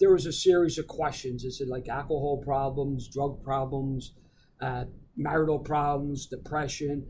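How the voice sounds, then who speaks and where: A man's fairly high, somewhat breathy voice in a Philadelphia accent, dark and mellow in tone, monotone and flat in intonation, at a moderate pace. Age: 60s. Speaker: recovering alcoholic, veteran. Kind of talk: casual interview, recovery testimony.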